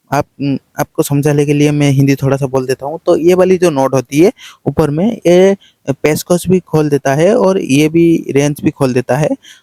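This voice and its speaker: Fairly even intonation runs through this dark, mellow tone. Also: man. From Odisha, India. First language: Odia (speaking Hindi). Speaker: shrimp farmer, vlogger. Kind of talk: casual how-to vlog. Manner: halting, many fillers.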